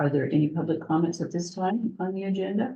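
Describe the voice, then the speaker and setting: Soft-spoken and somewhat breathy, a woman talks in a dark, mellow tone with lively intonation. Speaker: library board chair. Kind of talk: public board meeting. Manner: halting. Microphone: too quiet for audience.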